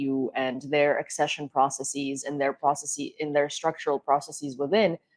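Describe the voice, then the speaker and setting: Speaking at a moderate pace, a woman with a Ukrainian accent has a very deep, low pitch. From Ukraine. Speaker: political talk show host. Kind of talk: panel discussion.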